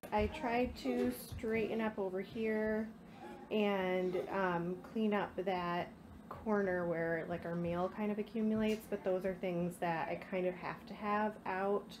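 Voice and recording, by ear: Speaking slowly, a woman uses a medium pitch, a slightly mellow tone and fairly even intonation.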